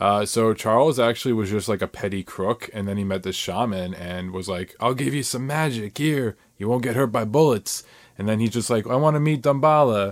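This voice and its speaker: A man with an ordinary speaking voice talks at a medium pitch with ordinary pitch variation in a very clean recording with a silent background. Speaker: YouTuber and army recruit. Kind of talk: casual chat.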